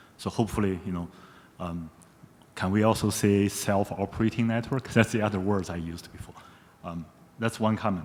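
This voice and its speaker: A man with a non-native accent speaks at a fairly quick pace. His voice is fairly low, with fairly even intonation. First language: not English. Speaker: audience member asking a question. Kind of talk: audience Q&A comment.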